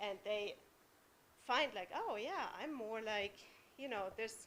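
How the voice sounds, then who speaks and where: A woman with a German accent talks at a fairly high pitch with ordinary pitch variation. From Germany. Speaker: parent speaking at public comment. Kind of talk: public comment at school board meeting. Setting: school board meeting in public.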